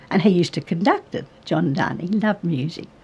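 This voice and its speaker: With an Australian accent, a woman talks at a fairly quick pace and medium pitch, sounding somewhat breathy. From New South Wales, Australia. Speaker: retired radio and opera singer. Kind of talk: interview answer.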